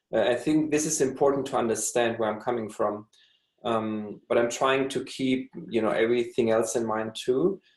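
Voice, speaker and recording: Speaking with a German accent, a man keeps a moderate pace, a medium pitch and ordinary pitch variation. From Germany. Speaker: tango dancer. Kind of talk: interview. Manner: halting.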